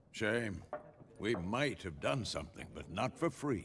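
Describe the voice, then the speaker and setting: The put-on character voice is raspy, with lively intonation. It moves at a fairly slow pace. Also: man, medium pitch for a man. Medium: video game.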